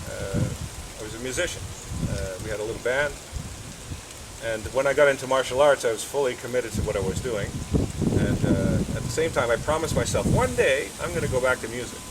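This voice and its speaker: Amid audible room echo and noticeable background noise, a man talks at a very fast pace broken by long, frequent pauses. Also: medium pitch for a man, ordinary pitch variation. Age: 60s. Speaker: karate instructor. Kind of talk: interview. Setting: outdoors at his house garden.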